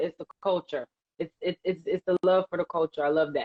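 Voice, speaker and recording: Delivered at a fairly quick pace, a woman's a normal speaking voice sits at a medium pitch. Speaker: radio host. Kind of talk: casual chat.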